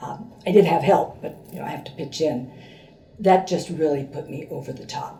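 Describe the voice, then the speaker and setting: A woman's very deep, low voice at a fairly slow pace, amid noticeable background noise and audible room echo. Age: 70s. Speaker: patient. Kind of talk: testimony. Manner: hesitant, many fillers.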